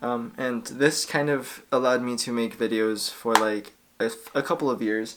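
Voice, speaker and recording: Clear background noise runs under a voice with an American accent. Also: man. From New Mexico, US Southwest. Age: 20s. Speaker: YouTuber and freelance videographer. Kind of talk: casual vlog to camera. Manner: casual, hesitant with fillers.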